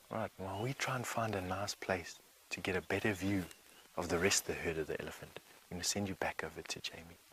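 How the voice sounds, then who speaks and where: A man speaks at a very fast pace in a very deep, low voice, his intonation fairly even. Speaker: safari guide. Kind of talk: live wildlife commentary on a bushwalk. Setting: outdoors on foot in the bush. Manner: soft-spoken.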